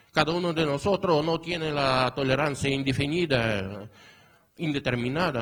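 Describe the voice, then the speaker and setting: Lively intonation marks this man's speech. His voice is somewhat breathy and fairly high in pitch. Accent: Portuguese. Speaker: academic conference speaker. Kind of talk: conference talk. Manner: halting, many fillers.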